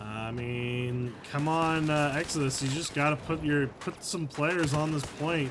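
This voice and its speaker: With an American accent, a man speaks in a fairly high voice at a fairly slow pace. Noticeable background noise can be heard. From United States. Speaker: esports caster. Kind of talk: live commentary. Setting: live stream. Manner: animated.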